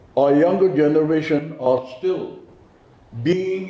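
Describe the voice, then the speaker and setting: Audible room echo around a man's fairly high voice, fairly even in intonation, at a moderate pace. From Nagaland, India. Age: 70s. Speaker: community leader. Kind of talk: press conference speech.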